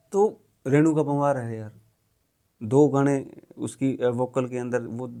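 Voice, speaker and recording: A man with a Haryana accent speaks at a medium pitch in a dark, mellow tone with ordinary pitch variation. His loudness swings widely, and he leaves long, frequent pauses. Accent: Haryanvi. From Haryana, India. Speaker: ex-journalist and film director. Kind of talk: podcast conversation.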